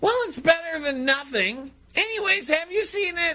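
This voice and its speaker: In a put-on character voice, the speaker squeaks at an extremely high pitch and keeps a moderate pace. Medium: comedy sketch. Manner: earnest, naive.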